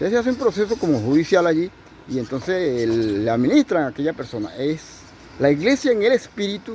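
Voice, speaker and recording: A man with a Venezuelan accent talks at a fairly quick pace in a high voice, his pitch swinging very widely. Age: 70s. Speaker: pastor. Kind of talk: sermon.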